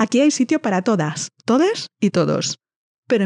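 With lively intonation, a woman speaks at a fairly slow pace in a dry, close sound with no echo. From northern Spain. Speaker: podcast host. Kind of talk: monologue intro to a podcast.

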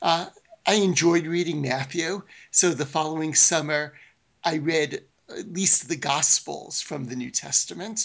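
With an American accent and an ordinary speaking voice, a man talks at a fairly slow pace and a fairly high pitch with ordinary pitch variation. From Brooklyn, New York. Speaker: professor of biblical studies. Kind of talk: interview. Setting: remote call.

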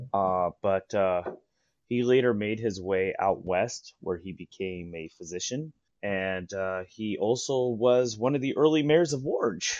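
A man speaks with an American accent and a fairly low pitch. His intonation is lively. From San Diego, California. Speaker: historian and tour guide. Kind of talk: storytelling interview.

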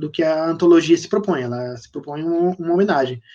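Here a man speaks with a high pitch and a dark, mellow tone. He keeps a fairly quick pace. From São Paulo, Brazil. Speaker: horror fiction author. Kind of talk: casual interview on live stream. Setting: live video stream.

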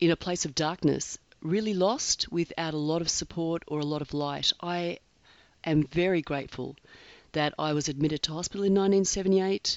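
Moderate pace and ordinary pitch variation in an Australian accent. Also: woman. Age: 50s. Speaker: podcast host, eating disorder survivor. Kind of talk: solo podcast monologue. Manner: hesitant, with filler words.

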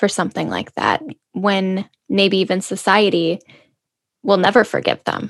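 A woman at a medium pitch and moderate pace, with long, frequent pauses, in a dry, close sound with no echo. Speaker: podcast host. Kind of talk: interview. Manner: warm, upbeat.

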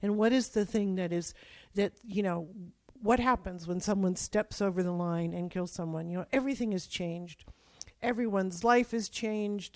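On a very clean recording with a silent background, a woman with an unremarkable speaking voice talks at a moderate pace with a medium pitch and ordinary pitch variation. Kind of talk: interview conversation.

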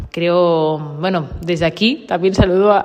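Ordinary pitch variation in a woman's fairly low-pitched voice. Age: 30s. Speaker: podcaster on dogs. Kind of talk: personal monologue. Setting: large coworking office. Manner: halting, many repetitions. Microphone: room echo.

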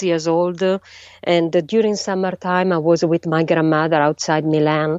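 This woman has an Italian accent. She talks at a moderate pace. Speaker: astrophysicist. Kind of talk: interview. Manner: halting.

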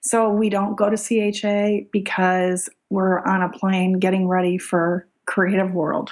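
Speaking very slowly with hardly any pauses, a woman with a Michigan accent keeps a medium pitch, monotone, flat intonation and very even loudness. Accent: US Midwestern (Michigan). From Michigan, US. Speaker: small business owner, art product maker. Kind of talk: casual interview.

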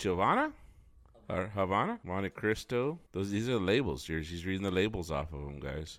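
A normal speaking voice, this man has a fairly low pitch and lively intonation. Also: very clean recording, silent background. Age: 40s. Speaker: podcast host. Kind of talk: casual chat. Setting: studio.

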